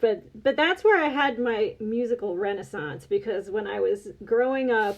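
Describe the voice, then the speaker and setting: A woman talks at a moderate pace. She pitches her voice fairly high, with lively intonation. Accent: American. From US, Delaware County near Philadelphia. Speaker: podcast guest, online store owner. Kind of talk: casual chat.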